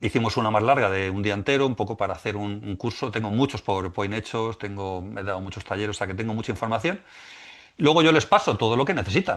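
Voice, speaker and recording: The background is quiet. A man talks at a fairly low pitch. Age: 60s. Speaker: musician and spiritual teacher. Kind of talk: podcast interview. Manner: halting, many repetitions.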